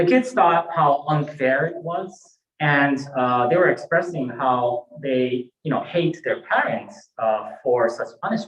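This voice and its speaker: A man speaks at a fairly high pitch with lively intonation. His pace is very slow. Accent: Japanese. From Japan (born in Hawaii, moved to Japan at eight). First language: Japanese. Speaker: Buddhist minister. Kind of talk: sermon. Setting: temple service, livestreamed. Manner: halting, many fillers.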